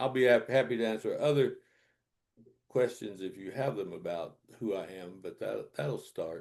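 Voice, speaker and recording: A man talks at a moderate pace in a Southern US accent. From US South, North Carolina. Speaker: Quaker minister and author. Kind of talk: casual interview.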